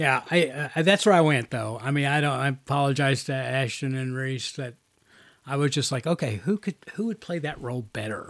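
In a normal speaking voice, a man talks at a fairly quick pace. His fairly high pitch moves with ordinary pitch variation. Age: 50s. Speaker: podcast host, movie reviewer. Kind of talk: casual chat.

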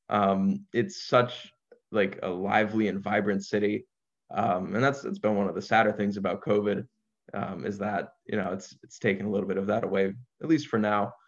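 A man's plain, everyday voice, fairly low in pitch, with an American accent, fairly even intonation and a moderate pace. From US, New Jersey. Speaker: university student. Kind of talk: casual interview.

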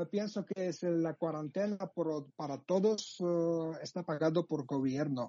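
Using a Georgian accent, a man with a high pitch and ordinary pitch variation speaks at a very slow pace with hardly any pauses. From Georgia (Abkhazia, Sukhumi). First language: Georgian (speaking Spanish). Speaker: journalist. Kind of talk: interview. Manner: halting.

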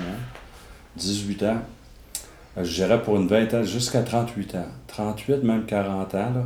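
A man speaks very slowly at fairly low pitch, with fairly even intonation and long, frequent pauses. Audible room echo and noticeable background noise fill the recording. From Quebec City. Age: 50s. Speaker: former bodybuilder. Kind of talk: testimony. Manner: halting.

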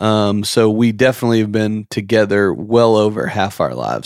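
Here is a man with an unremarkable speaking voice, fairly low in pitch, at a fairly quick pace. His intonation stays fairly even. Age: 30s. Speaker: podcast host, insurance business owner. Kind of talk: casual chat.

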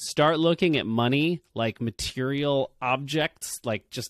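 A man's fairly high-pitched voice at a fairly slow pace, an unremarkable speaking voice with ordinary pitch variation, dry and close with no echo, on a very clean recording with a silent background. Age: 40s. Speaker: video ad agency founder. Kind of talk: interview.

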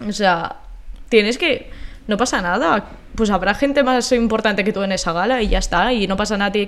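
Using a plain, everyday voice, a woman speaks at a moderate pace with a fairly high pitch and ordinary pitch variation. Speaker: podcast co-host, university student. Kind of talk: casual chat.

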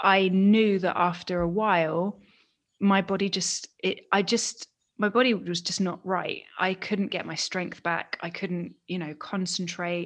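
In a fairly slow, flat monotone, a woman speaks with an English accent. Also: medium pitch for a woman, quiet background. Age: 30s. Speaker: podcast co-host. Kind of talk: casual chat.

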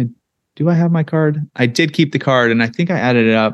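An unremarkable speaking voice with an American accent uses lively intonation at a moderate pace over a quiet background. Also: man. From North County, San Diego, California. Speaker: podcast co-host and realtor. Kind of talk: casual chat.

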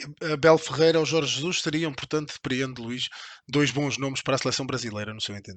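At a very fast pace, a man talks with fairly high pitch and ordinary pitch variation. His loudness swings a lot. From Portugal. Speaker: podcast host. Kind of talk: interview.

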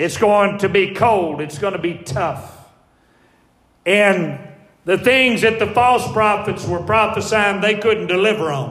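In a room with audible echo, a man with a Southern US accent speaks fairly slowly at a high pitch, with ordinary pitch variation. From US South. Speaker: pastor. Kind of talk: sermon.

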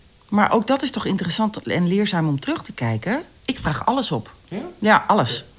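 A woman's medium-pitched voice with vocal fry, very wide pitch swings and a moderate pace. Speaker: voice-over artist. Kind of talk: casual interview chat. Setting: at her home.

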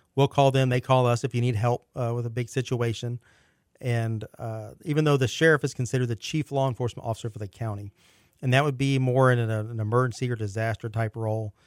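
Speaking at a very fast pace, a man with a medium pitch keeps a fairly even intonation in a dry, close sound with no echo, on a very clean recording with a silent background. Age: 40s. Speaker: sheriff's office major. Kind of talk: casual interview.

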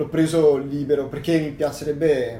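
This man's fairly high pitch carries vocal fry and a dark, mellow tone. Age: 20s. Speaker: university student and hobby woodcarver. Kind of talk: casual interview.

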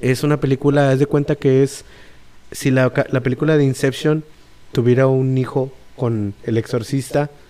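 A man's medium-pitched, dark, mellow voice with monotone, flat intonation, very even loudness and a moderate pace. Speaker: podcast host. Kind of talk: plot narration; casual chat.

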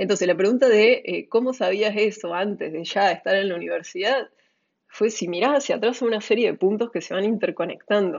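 An unremarkable speaking voice from a woman, fairly high in pitch, with ordinary pitch variation at a fairly quick pace. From Córdoba, Argentina. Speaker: entrepreneur. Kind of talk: interview.

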